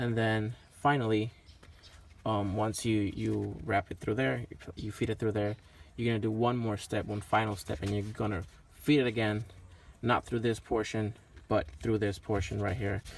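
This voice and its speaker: Fairly low in pitch, a man uses an ordinary speaking voice at a moderate pace, keeping his intonation fairly even. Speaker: car enthusiast vlogger. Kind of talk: tutorial. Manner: casual with filler words.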